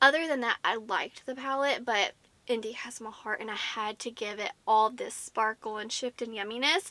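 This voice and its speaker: With an American accent, a woman speaks at a high pitch in a bright, sharp tone. Her pace is moderate, and her pitch variation is ordinary. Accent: southern US, comes out at times. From US South. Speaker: beauty YouTuber. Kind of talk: product review. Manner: animated.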